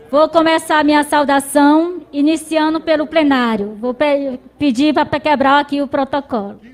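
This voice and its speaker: A woman speaks in a high voice at a fairly slow pace. Her intonation is fairly even, and there is noticeable background noise. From Brazil, Maranhão interior. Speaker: rural union leader, farmer. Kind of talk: speech of welcome.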